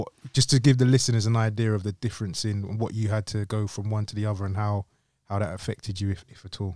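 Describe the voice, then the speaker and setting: In a very clean recording with a silent background, a man talks at a very fast pace in a dark, mellow tone. His loudness swings widely. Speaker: podcast host. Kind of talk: casual interview chat. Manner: animated, casual.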